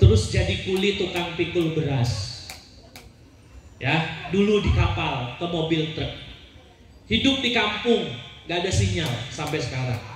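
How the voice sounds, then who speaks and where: A man at a fairly slow pace and fairly high pitch, with very wide pitch swings, long, frequent pauses, audible room echo and noticeable background noise. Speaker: Islamic preacher. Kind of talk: sermon. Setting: stage with audience, PA system. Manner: animated.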